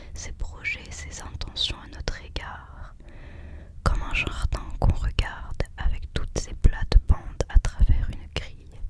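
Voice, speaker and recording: Whispering at a very slow pace, the speaker shows big swings in loudness against noticeable background noise. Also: woman. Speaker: ASMR creator, student. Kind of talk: ASMR whispered reading of quotes and poems. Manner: whispered, soft.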